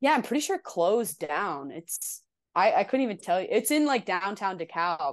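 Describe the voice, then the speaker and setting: In a New Jersey accent, a woman speaks at a moderate pace with medium pitch, an animated tone and very wide pitch swings over a quiet background. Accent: New Jersey-tinged. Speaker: indie musician. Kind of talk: casual chat.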